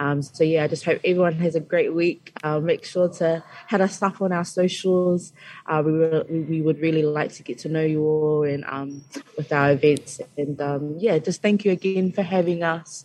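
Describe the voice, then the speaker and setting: A woman with a New Zealand accent speaks at a moderate pace in a fairly low pitch. Her tone is dark and mellow, with fairly even intonation. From Christchurch, New Zealand. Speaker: student association officer. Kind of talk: radio interview. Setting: radio studio.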